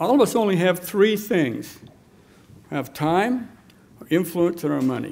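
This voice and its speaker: A man's high voice at a moderate pace, with lively intonation, big swings in loudness, and long, frequent pauses. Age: 70s. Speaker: political activist; speaker. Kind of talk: speech. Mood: earnest, tributary. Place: hall. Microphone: podium.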